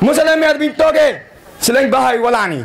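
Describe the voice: A man speaks at an extremely high pitch with big pitch swings. Vocal fry runs through his voice. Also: fairly quick pace.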